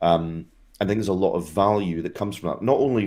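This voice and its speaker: A man's fairly low voice with a Scottish accent and lively intonation, on a very clean recording with a silent background. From Scotland. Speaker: tech industry guest, former operations team lead. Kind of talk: casual video interview.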